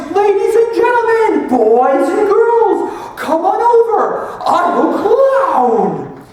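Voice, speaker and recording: A loud, put-on character voice at an extremely high pitch moves at a very slow pace with hardly any pauses, wrapped in strong echo. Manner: loud, confident.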